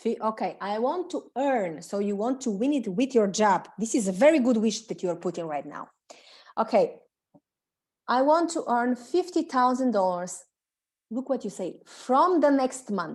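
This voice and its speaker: Her pitch high and swinging very widely, a woman speaks with a Bulgarian accent. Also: moderate pace. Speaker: self-development coach. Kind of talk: webinar coaching session. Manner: halting.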